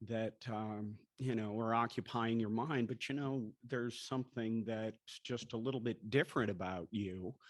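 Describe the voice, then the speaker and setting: A man with a normal speaking voice talks at a medium pitch and a moderate pace, with fairly even intonation and hardly any pauses, over a quiet background. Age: 60s. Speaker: TV news anchor. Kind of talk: talk to an audience. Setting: breakfast event with audience.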